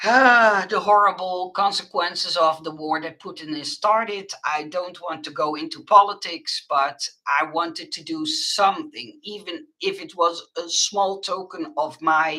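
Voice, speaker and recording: A woman with a Dutch accent speaks fairly slowly at a medium pitch with hardly any pauses, her pitch swinging very widely and her loudness swinging a lot. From Netherlands. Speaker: crafter and online shop owner. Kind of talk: live stream chat with viewers. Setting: live webcam stream. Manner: halting, many fillers.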